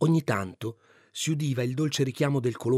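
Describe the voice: Plain read-aloud delivery, its pitch moving in an ordinary way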